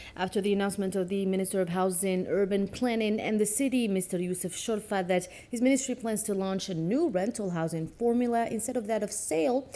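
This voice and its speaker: A woman with a plain, everyday voice speaks at a medium pitch and a fairly quick pace, with ordinary pitch variation and hardly any pauses. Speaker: news anchor. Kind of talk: TV news anchoring.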